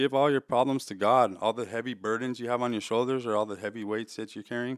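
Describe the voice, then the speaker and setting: Talking very fast, a man speaks with an American accent. His pitch is medium and his intonation fairly even. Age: 30s. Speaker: recovering addict. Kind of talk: personal testimony. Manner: casual, slangy.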